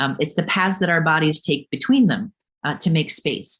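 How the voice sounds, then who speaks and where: Moving at a moderate pace, a woman speaks with lively intonation, a fairly low pitch and a somewhat breathy voice. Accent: American. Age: 40s. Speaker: author and geography professor. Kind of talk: lecture. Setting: webinar. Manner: halting, many fillers.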